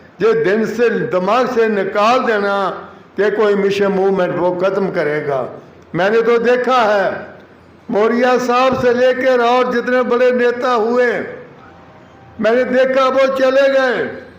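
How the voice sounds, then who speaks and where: An extremely high-pitched man's voice with ordinary pitch variation and very even loudness, amid noticeable background noise and audible room echo. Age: 80s+. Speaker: speaker at a community event. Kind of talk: public speech. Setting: auditorium with audience. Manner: impassioned.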